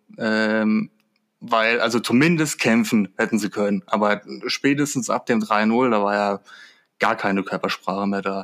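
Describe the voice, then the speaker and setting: A man talks at a fairly slow pace in a normal speaking voice, medium in pitch with ordinary pitch variation. The recording is very clean with a silent background and a dry, close sound with no echo. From Germany, Würzburg area (Lower Franconia). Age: 20s. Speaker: football fan. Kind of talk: casual chat.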